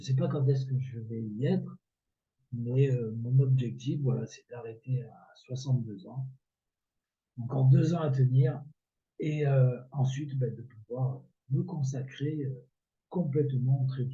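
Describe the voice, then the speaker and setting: Somewhat breathy and dark, mellow in tone, a man at medium pitch speaks very slowly, with long, frequent pauses and big swings in loudness. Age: 60s. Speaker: amateur trader and video creator. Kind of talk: casual tutorial. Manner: hesitant, many filler words.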